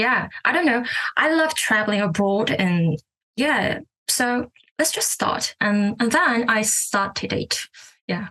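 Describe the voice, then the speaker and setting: Speaking at a very slow pace with a Korean accent, a woman uses a fairly high pitch, a bright, sharp tone, lively intonation and very even loudness. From South Korea. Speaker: English learner and language teacher. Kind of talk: casual interview. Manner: hesitant, many fillers.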